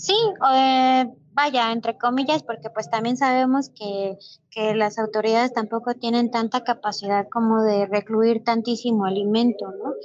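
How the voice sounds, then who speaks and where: A woman's fairly high voice, fairly slow and fairly even in intonation. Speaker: animal rescue shelter founder. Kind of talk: casual interview.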